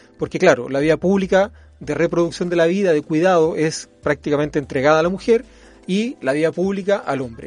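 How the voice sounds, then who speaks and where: A man at a high pitch, fairly quick pace and ordinary pitch variation. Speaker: constitutional lawyer and law professor. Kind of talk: interview.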